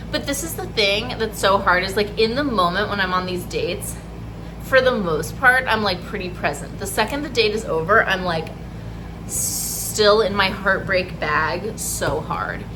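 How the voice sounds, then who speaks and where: Noticeable background noise and audible room echo fill the recording. A woman's speech moves at a moderate pace within it. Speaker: vlogger and therapist. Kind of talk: casual vlog. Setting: outdoors outside a coffee shop. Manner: talking quietly.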